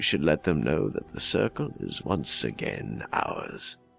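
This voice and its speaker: A man's put-on character voice, very deep and low in pitch, at a fairly slow pace over faint background music. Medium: solo performance. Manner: wry, tired.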